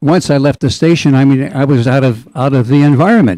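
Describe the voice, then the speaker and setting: The tone is dark and mellow, with ordinary pitch variation at a fairly quick pace. The sound is dry and close with no echo, on a very clean recording with a silent background. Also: man. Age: 80s+. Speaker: retired radio DJ. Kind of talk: radio interview. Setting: radio studio. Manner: halting.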